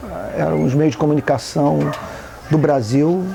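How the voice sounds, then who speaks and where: A man is speaking at a moderate pace. Noticeable background noise runs behind him. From Brazil, Rio de Janeiro. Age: 50s. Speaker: activist pastor, NGO founder. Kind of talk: documentary interview. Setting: outdoors.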